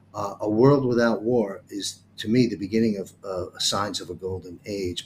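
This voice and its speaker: A man talks with a fairly low pitch. His voice is somewhat breathy. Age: 60s. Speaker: talk show host. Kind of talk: interview. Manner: halting.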